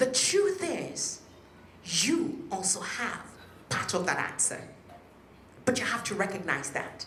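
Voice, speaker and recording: In a Nigerian accent, the speaker goes at a very slow pace with long, frequent pauses and very wide pitch swings. Audible room echo and noticeable background noise are present. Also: woman, high pitch for a woman. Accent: Nigerian (Yoruba) English. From western Nigeria. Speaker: politician, local councillor. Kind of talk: public speech. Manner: animated.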